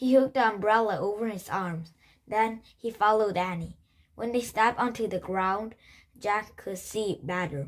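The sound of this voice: What we hear is an unforced reading voice.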